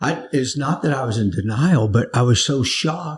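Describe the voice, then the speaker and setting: A man with an American accent talks at a moderate pace with a medium pitch. His voice is somewhat breathy, with ordinary pitch variation. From US South, Florida (Naples). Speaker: pastor. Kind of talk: interview testimony. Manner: halting, repeats words.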